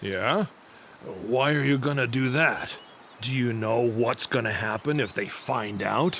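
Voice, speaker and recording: Against clear background noise, a man puts on a raspy character voice at medium pitch. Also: fairly slow pace. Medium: fan dub. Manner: gruff, cocky.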